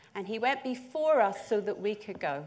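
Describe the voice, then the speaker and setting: A woman speaks in a Northern Irish accent. Her pace is moderate. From Northern Ireland, north coast (Portstewart). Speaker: church preacher. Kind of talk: sermon.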